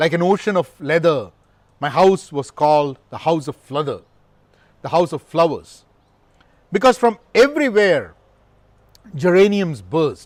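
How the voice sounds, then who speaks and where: The voice has lively intonation and big swings in loudness, with long, frequent pauses. The recording is very clean, with a silent background. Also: man, high pitch for a man, fairly slow pace. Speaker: amateur poet. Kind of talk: reading aloud. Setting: recording to camera. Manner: halting first-time reading.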